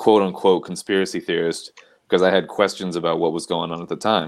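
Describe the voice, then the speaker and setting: In a very clean recording with a silent background, a man speaks with a very deep, low pitch and a monotone, flat intonation. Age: 30s. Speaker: panel regular. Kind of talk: casual chat.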